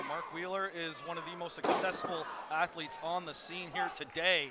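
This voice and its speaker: Noticeable background noise sits behind a man's high-pitched voice. He talks at a moderate pace. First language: Portuguese. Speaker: wrestling commentator. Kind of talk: live commentary. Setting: arena with live crowd. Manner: animated.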